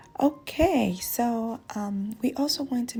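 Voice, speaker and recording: A woman's dark, mellow voice with vocal fry and lively intonation. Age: 20s. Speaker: lifestyle vlogger. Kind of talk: voiceover narration. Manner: casual.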